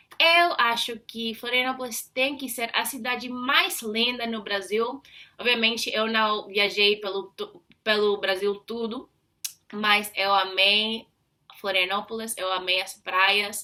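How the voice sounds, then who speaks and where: Bright and sharp in tone, a woman's voice moves at a very slow pace. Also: ordinary pitch variation. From United States. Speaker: YouTuber, Portuguese learner. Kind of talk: casual vlog monologue. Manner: halting, frequent fillers.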